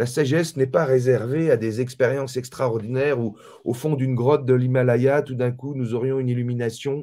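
Here a man speaks at a moderate pace with a dark, mellow tone. His intonation is monotone and flat, and the background is quiet. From mixed Malagasy-French background. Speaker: author and spiritual teacher; spiritual teacher. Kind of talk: casual interview. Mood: calm, reflective. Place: home room. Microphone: video call.

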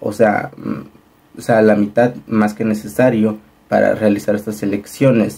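The voice has vocal fry and a dark, mellow tone. It moves at a fairly slow pace with little pitch movement. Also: man, fairly low pitch for a man.

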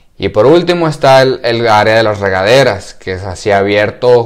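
At a moderate speed, a man talks with a quiet background. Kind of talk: casual vlog chat. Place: home room. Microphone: lapel.

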